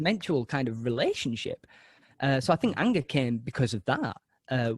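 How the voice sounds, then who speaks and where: With lively intonation and a somewhat breathy quality, a man talks at a moderate pace and medium pitch in a dry, close sound with no echo. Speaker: actor and podcast host. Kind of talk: interview answer.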